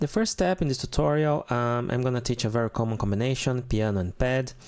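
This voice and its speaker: A man speaks with a Portuguese accent. His medium-pitched voice has lively intonation. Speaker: keyboard tutor. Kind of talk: tutorial. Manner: casual.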